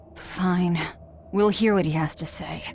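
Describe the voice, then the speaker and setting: Using a put-on character voice at medium pitch, a woman speaks fairly slowly with fairly even intonation over clear background noise. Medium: video game. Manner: curt, cold.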